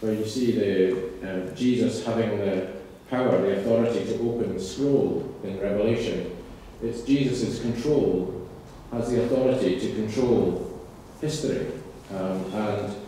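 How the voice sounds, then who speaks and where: Speaking at a fairly slow pace, a man is heard over light background noise with strong room echo. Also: ordinary pitch variation. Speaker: guest lecturer. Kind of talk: lecture. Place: church.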